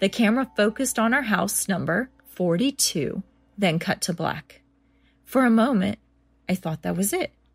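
A woman with a medium-pitched, somewhat breathy voice speaks at a moderate pace with lively intonation and long, frequent pauses. The sound is dry and close with no echo, on a very clean recording with a silent background. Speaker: podcast host reading listener-submitted scary stories. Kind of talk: scary story reading, hushed suspenseful narration building dread.

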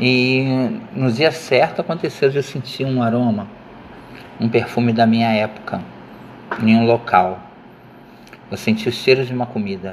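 A man talks at a fairly slow pace with long, frequent pauses. Background noise is noticeable. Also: medium pitch for a man, ordinary pitch variation. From Rio de Janeiro suburbs, Brazil. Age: 50s. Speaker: student. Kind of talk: personal memoir presentation. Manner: unscripted, hesitant.

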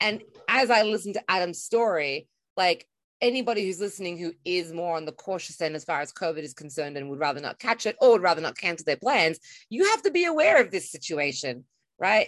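With an Australian accent, a woman speaks at a fairly quick pace and fairly low pitch, her intonation lively, the sound dry and close with no echo against a quiet background. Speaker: podcast co-host. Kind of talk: casual chat.

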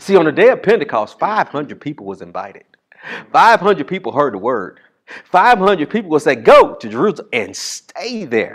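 A man speaks in an animated tone. His voice carries vocal fry. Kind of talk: sermon. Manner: animated, call-and-response, loud and exhorting; humorous asides, punchy, rhythmic repetition.

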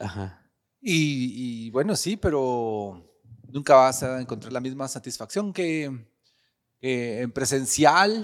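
On a very clean recording with a silent background, a man with a Costa Rican accent talks at a very slow pace, his medium pitch carried by lively intonation. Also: big swings in loudness. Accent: Costa Rican-sounding Spanish. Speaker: clown and performing artist. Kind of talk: casual interview chat.

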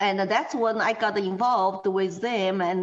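A woman with a Chinese accent speaks with ordinary pitch variation. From China. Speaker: political activist. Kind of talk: interview.

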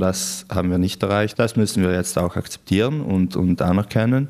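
In a very clean recording with a silent background, a man speaks at a moderate pace in a very deep, low pitch. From South Tyrol, Brenner area. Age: 20s. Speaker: activist and student. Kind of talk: interview.

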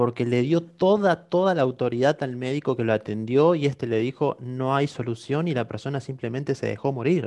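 A man talks at a moderate pace with hardly any pauses, medium pitch and ordinary pitch variation. He has an ordinary speaking voice, over a quiet background. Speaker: podcast host. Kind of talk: live-streamed podcast interview.

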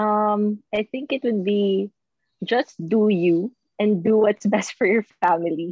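A woman with a Filipino accent, medium pitch, ordinary pitch variation, a very slow pace and very even loudness. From Philippines, Batangas. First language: Tagalog. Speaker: marketing executive and mother. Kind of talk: casual interview in Taglish.

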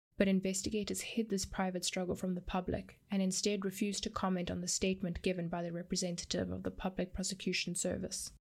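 The speech is very fast and somewhat breathy, with hardly any pauses and a monotone, flat intonation. The recording is very clean with a silent background. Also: woman, medium pitch for a woman. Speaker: true crime podcast host. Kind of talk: scripted narration.

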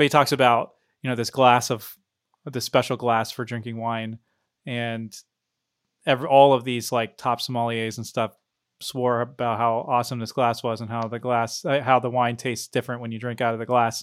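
A man at a medium pitch and moderate pace, with monotone, flat intonation, on a very clean recording with a silent background. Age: 30s. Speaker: podcast host. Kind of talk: interview.

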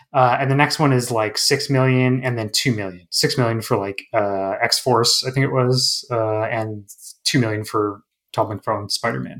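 In a very clean recording with a silent background, a man with an unremarkable speaking voice talks at a moderate pace and medium pitch with fairly even intonation. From northern Manitoba, Canada. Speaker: game developer and comic artist. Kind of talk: casual interview.

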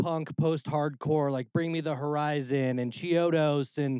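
A plain, everyday voice with an American accent talks at a moderate pace with ordinary pitch variation, in a very clean, dry, close recording with no echo and a silent background. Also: man. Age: 30s. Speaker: music producer. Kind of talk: casual chat.

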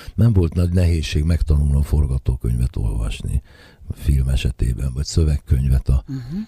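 Speech comes at a fairly quick pace with a dry, close sound free of echo and noticeable background noise. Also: man. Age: 60s. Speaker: jazz saxophonist and composer. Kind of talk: radio interview.

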